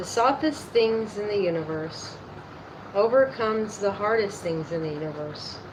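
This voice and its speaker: Amid audible room echo and noticeable background noise, a woman with a medium pitch speaks at a very slow pace with lively intonation. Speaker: YouTuber reading aloud. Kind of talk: reading aloud. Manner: halting, rereading lines.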